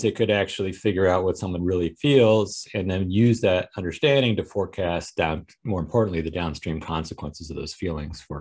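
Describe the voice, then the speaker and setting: A man's very deep, low voice at a very fast pace, with ordinary pitch variation over a quiet background. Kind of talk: lecture. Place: home room. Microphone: video call.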